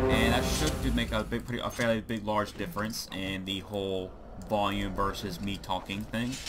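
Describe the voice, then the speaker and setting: Audible room echo and noticeable background noise around a man with a fairly low pitch, ordinary pitch variation and a moderate pace. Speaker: let's play gamer. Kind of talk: gameplay commentary. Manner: loud.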